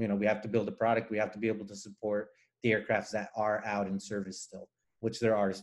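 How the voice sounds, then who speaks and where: A man of medium pitch speaks with a Spanish accent. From Nicaragua. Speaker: aerospace engineer. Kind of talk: interview. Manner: hesitant, many fillers.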